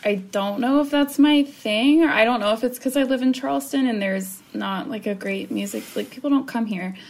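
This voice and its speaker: A woman's normal speaking voice, fairly high in pitch, with lively intonation, at a fairly quick pace and with hardly any pauses. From US South. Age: 20s. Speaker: navy public affairs worker. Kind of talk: casual chat.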